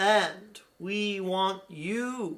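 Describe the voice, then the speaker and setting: A man's put-on character voice, high in pitch. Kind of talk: spiritual channeling. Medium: solo performance. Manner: slow, deliberate, soothing.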